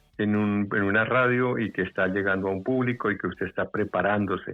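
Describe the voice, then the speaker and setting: A man talks with ordinary pitch variation while music plays in the background. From Bogotá, Colombia. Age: 70s. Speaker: veteran radio announcer, commercial voice. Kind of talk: interview answer.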